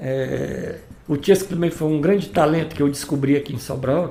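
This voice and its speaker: In a dark, mellow tone, a man speaks at a moderate pace with a fairly high pitch. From Ceará, Brazil (Santa Quitéria area). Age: 60s. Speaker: musician and former band leader. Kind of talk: interview. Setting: podcast recording.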